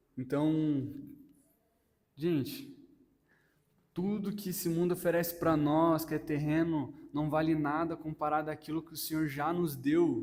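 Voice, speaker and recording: Amid audible room echo, a man with a fairly high pitch speaks in a flat monotone at a fairly slow pace, with long, frequent pauses. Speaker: lay preacher. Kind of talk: sermon.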